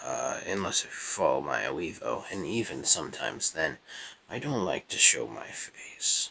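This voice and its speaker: This man speaks quietly at a moderate pace. His loudness swings widely. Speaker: gaming YouTuber. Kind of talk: gameplay commentary. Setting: at grandparents' house.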